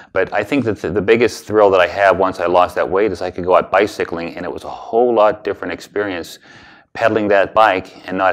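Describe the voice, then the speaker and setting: A man with an American accent and fairly low pitch speaks at a very fast pace with ordinary pitch variation. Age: 60s. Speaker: weight loss client giving a testimonial. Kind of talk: testimony. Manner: halting, with many repeats and fillers.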